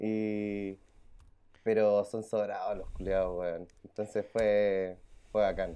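A man with a dark, mellow tone speaks at a fairly low pitch and a very slow pace, in a monotone, flat intonation. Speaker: podcast co-host. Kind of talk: casual chat.

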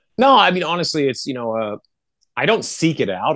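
Speaking at a very fast pace, a man with a Canadian accent makes very wide pitch swings. The sound is dry and close with no echo, over a quiet background. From Canada. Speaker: rock musician. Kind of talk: casual interview.

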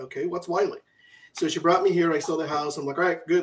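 With an American accent, a man speaks in a plain, everyday voice at a fairly high pitch with fairly even intonation. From Michigan, Detroit area. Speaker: health insurance broker, co-host. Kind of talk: casual talk show.

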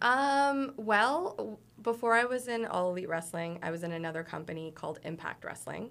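A woman talks with lively intonation at a fairly high pitch and a moderate pace. It is an ordinary speaking voice, with hardly any pauses. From Toronto, Canada. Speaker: professional wrestler. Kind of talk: casual interview chat.

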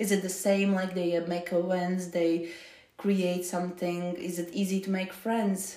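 Over noticeable background noise, a woman speaks fairly slowly in a monotone, flat delivery. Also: medium pitch for a woman. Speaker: podcast host. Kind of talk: casual interview.

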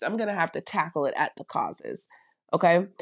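The speech comes at a very fast pace in an animated tone. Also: woman. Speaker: consultant and coach. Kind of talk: faith-based interview conversation.

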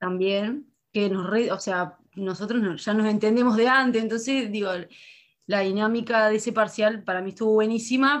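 A woman's fairly high, normal speaking voice at a moderate pace, with fairly even intonation over a quiet background. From Canelones, Uruguay. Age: 20s. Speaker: university student. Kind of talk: casual chat.

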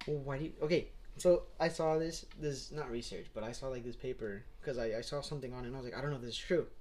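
A man talks at a very fast pace with a somewhat breathy voice. His pitch is fairly high and varies in an ordinary way. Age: 20s. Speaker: podcast co-host. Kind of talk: casual chat.

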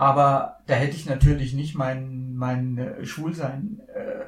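A man's somewhat breathy voice sits fairly high in pitch, with fairly even intonation. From Bavaria, Lower Franconia (Miltenberg), schooled in Munich. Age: 60s. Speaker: blind church organist. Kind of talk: casual interview conversation. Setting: studio, sitting face to face.

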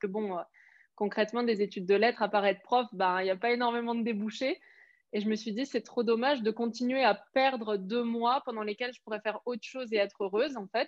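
A woman with an ordinary speaking voice, fairly high pitch, fairly even intonation and a fairly quick pace. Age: 20s. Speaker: business coach. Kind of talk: casual chat.

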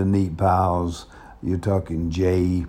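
A man with a Southern US accent talks in a dark, mellow tone. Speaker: pastor. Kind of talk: casual monologue. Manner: halting.

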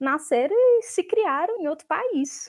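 Recorded very cleanly against a silent background, a woman talks at a moderate pace with very wide swings in pitch. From Brazil (born in Chile, moved at six). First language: Spanish and Portuguese (bilingual) (speaking Portuguese). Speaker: literature researcher. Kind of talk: academic interview.

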